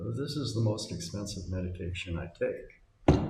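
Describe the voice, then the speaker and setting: A man with an American accent and fairly low pitch uses lively intonation. Audible room echo and noticeable background noise surround him. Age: 60s. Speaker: retiree abroad. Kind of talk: casual monologue.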